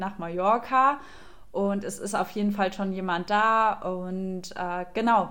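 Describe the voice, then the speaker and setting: A woman at medium pitch talks in a monotone with flat intonation. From Germany, Aschaffenburg (Lower Franconia). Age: 20s. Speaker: café owner. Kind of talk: casual interview. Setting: video call.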